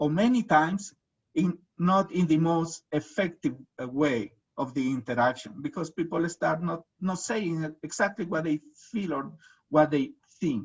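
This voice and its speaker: The speaker has a Latin American accent and lively intonation. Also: man, high pitch for a man, moderate pace. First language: Spanish. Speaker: researcher and presenter. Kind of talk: webinar presentation. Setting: video webinar. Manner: halting, many fillers.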